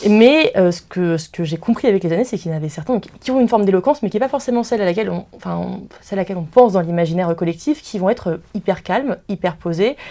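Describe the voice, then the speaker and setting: Very fast and with hardly any pauses, a woman speaks with lively intonation in a dark, mellow tone. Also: medium pitch for a woman. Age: 20s. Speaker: law student. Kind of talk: interview. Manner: halting.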